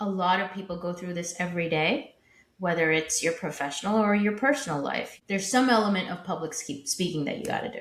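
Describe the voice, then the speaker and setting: A somewhat breathy woman's voice at medium pitch, very fast pace and ordinary pitch variation, with audible room echo. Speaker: podcast co-host. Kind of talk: casual chat.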